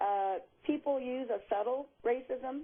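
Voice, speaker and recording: A woman with an American accent. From Los Angeles County, California. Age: 60s. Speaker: caller. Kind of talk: phone-in call.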